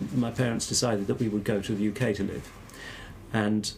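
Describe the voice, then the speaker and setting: Speaking in a southern English accent, a man uses a medium pitch with ordinary variation. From southern England (Exeter, Devon). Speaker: academic theologian. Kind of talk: interview conversation. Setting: podcast. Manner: halting.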